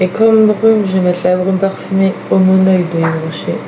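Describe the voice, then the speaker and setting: Soft-spoken and monotone, a woman talks at a moderate pace and medium pitch, with audible room echo and noticeable background noise. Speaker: vlogger. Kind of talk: casual get-ready-with-me vlog. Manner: soft-spoken, quiet.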